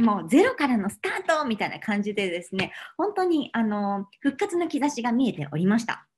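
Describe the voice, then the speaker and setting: Somewhat breathy, a woman talks at a fairly quick pace, her pitch making very wide swings. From Japan. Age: 30s. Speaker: cookery expert and cancer patient giving a talk; speaker. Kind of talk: online lecture. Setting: online video seminar. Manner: polite, formal with many fillers. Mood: warm, earnest. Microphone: webcam.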